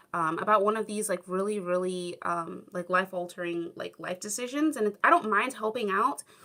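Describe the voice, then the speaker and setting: In a Southern California accent, a woman speaks fairly quickly at a medium pitch with a bright, sharp tone and ordinary pitch variation. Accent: Valley Girl. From US. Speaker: YouTuber, former English teacher in Japan. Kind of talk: livestream chat reading comments. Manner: casual, many fillers.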